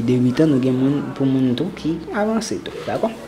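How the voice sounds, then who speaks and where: The delivery holds a moderate pace. Behind it, background noise is noticeable. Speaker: guitar and music theory teacher. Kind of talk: tutorial.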